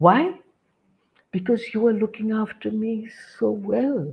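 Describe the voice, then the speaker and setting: This woman talks at a very slow pace in a somewhat breathy voice. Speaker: cancer counsellor and motivational speaker. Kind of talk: interview.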